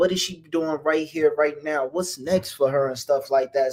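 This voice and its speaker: Speaking with an American accent, a man with fairly high pitch keeps a moderate pace and fairly even intonation in an unremarkable speaking voice. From New Jersey. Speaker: talk show host. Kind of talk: live interview. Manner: casual, laid-back.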